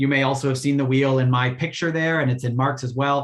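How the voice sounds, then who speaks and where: A man's fairly high-pitched voice, fairly quick in pace, with fairly even intonation. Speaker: Rotary youth exchange volunteer presenter. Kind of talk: virtual info session presentation. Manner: fast.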